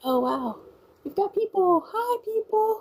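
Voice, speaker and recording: A woman is speaking. Her pace is moderate. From Louisiana, partly Cajun area near Eunice. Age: 30s. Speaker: live streamer. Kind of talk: casual live stream chat. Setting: live stream.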